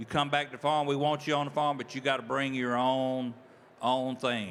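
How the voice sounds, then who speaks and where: A normal speaking voice. The intonation stays fairly even. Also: man. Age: 60s. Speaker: farmer. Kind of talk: panel discussion.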